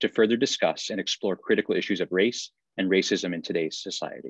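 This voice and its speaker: A man talking at a fairly quick pace, dry with no echo, in a quiet background. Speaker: associate dean hosting event. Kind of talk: formal event introduction. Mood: warm, welcoming. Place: office. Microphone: video call.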